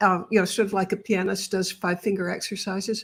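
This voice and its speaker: A woman talks at a moderate pace and medium pitch, somewhat breathy, with fairly even intonation. The recording is very clean, with a silent background. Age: 70s. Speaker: author. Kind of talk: interview.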